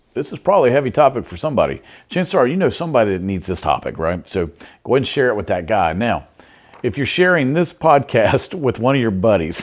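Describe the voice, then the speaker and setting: A man with a Southern US accent, very wide pitch swings, vocal fry and a very fast pace. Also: medium pitch for a man. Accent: Southern US twang. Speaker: podcast host and behavior coach. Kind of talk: podcast monologue. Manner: casual, animated.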